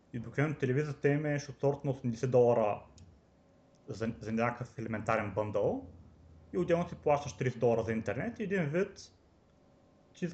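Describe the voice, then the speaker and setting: A man's somewhat breathy voice, fairly high in pitch with ordinary pitch variation, broken by long, frequent pauses. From Bulgaria, Varna. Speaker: software developer. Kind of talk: casual chat.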